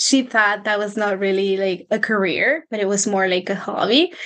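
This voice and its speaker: A woman's medium-pitched voice with a Spanish accent, fairly even intonation, and a fairly slow pace. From Mexico, Michoacán. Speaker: personal finance coach. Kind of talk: interview.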